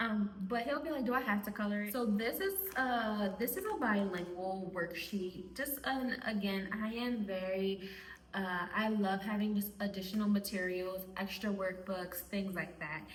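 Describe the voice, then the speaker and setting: A woman's medium-pitched voice in a Spanish accent, moderate pace and ordinary pitch variation, with audible room echo and noticeable background noise. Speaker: homeschooling mom and video creator. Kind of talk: casual talk to camera.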